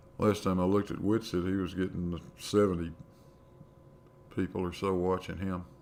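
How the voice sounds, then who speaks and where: A man with an American accent speaks in a very deep, low pitch with monotone, flat intonation and long, frequent pauses. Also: moderate pace. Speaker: science livestreamer. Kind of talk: live stream chat with viewers. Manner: casual, conversational.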